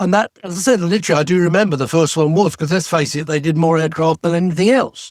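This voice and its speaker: Talking at a very fast pace with an English accent, a man uses a high pitch in a dry, close sound with no echo. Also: ordinary pitch variation, hardly any pauses. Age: 70s. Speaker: retired TV special effects designer. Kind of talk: casual interview chat.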